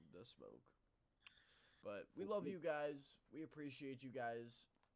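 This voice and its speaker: At a very slow pace, a man with fairly high pitch speaks with lively intonation. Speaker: sports podcast host. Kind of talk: casual chat. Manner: sleepy, low energy.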